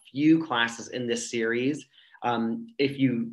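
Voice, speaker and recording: Fairly even intonation from a man, with a quiet background behind him. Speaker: presenter. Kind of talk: webinar presentation. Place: home room. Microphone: video call.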